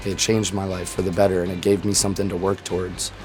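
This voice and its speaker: A man with an American accent speaks very fast at a very deep, low pitch in a monotone, flat intonation. Music plays in the background, and the room echo is audible. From Florida, US. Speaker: war veteran, amputee surfer. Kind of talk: interview testimony.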